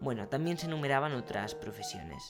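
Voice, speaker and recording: A man speaks fairly quickly with ordinary pitch variation while music plays in the background. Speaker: radio presenter. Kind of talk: local history narration.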